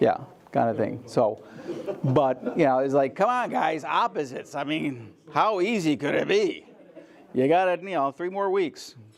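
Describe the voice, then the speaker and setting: A man speaks loudly at a moderate pace with a fairly high pitch and very wide pitch swings. Noticeable background noise is audible. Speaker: photography lecturer. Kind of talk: lecture.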